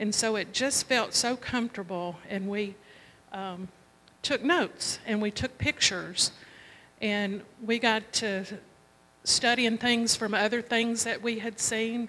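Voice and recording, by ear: A woman's fairly high voice at a slow pace, with ordinary pitch variation and a fairly bright tone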